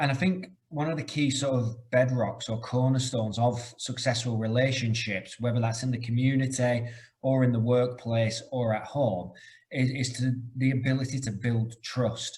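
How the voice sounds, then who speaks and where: This man's voice sits at a medium pitch and is somewhat breathy. His intonation is fairly even. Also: moderate pace. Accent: British. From UK. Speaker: corporate trainer. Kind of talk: webinar presentation.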